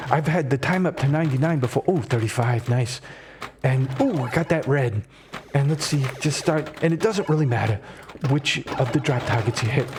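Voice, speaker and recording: A man speaks at a moderate pace with a fairly high pitch, ordinary pitch variation and very even loudness. Noticeable background noise runs under his voice. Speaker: streamer. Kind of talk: live gameplay commentary. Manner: animated.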